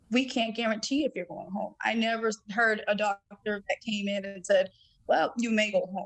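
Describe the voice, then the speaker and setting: At a moderate pace, a woman speaks in a somewhat breathy, fairly high voice with fairly even intonation. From Massachusetts, Dorchester (Boston). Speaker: cardiomyopathy survivor, podcast guest. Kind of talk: testimony.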